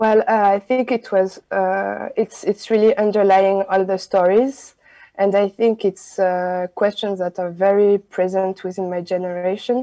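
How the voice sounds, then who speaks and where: Against a quiet background, a woman with a French accent speaks in a dark, mellow tone with monotone, flat intonation. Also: fairly slow pace. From France. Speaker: film director. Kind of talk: interview. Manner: halting. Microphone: video call.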